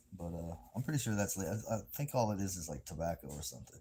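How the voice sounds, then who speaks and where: With a Southern US accent, a man talks at a fairly quick pace in a dark, mellow tone. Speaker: livestreamer. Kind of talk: casual livestream chat. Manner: casual, rambling with fillers; quiet, talking low.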